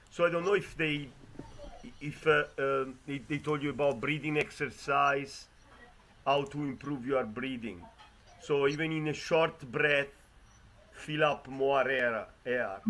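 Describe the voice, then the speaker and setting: Music plays in the background as a man speaks at a fairly slow pace with long, frequent pauses and ordinary pitch variation. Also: fairly high pitch for a man. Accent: Italian. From Italy. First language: Italian. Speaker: competition judge. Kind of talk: judge feedback. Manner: halting.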